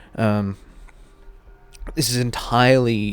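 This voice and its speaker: Music plays in the background as a man speaks. His voice sits at a medium pitch with fairly even intonation. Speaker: gaming YouTuber. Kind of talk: casual commentary video. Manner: hesitant, many fillers.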